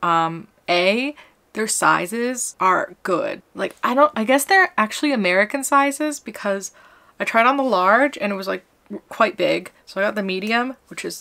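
A woman's lively intonation over a quiet background. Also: moderate pace. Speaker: vlogger. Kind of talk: casual vlog chat. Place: home room. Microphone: phone near.

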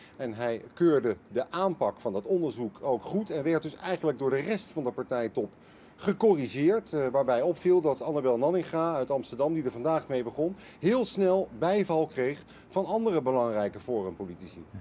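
Over light background noise, a man talks at a moderate pace in a fairly high, dark and mellow voice with very wide pitch swings. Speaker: political correspondent. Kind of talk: live news analysis. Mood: calm, measured.

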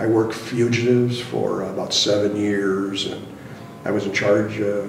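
Audible room echo surrounds a voice with vocal fry moving at a moderate pace. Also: man.

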